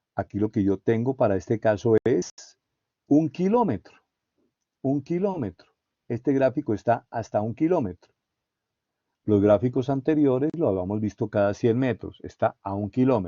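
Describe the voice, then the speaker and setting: Lively intonation from a medium-pitched man, broken by long, frequent pauses. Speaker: university lecturer. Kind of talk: lecture. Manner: slow.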